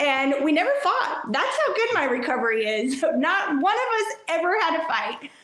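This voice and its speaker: With an American accent, a woman speaks at an extremely high pitch and a moderate pace, her pitch swinging very widely while her loudness stays very even over noticeable background noise. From New York. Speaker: addict in recovery, Facebook page creator. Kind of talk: personal story interview.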